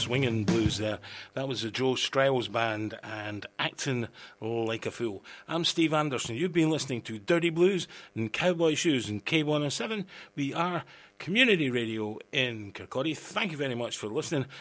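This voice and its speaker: Over a silent background on a very clean recording, a man with a plain, everyday voice speaks at medium pitch and a moderate pace with lively intonation. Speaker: radio host. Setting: studio. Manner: relaxed, chatty, wry and laid-back, laughs at own jokes.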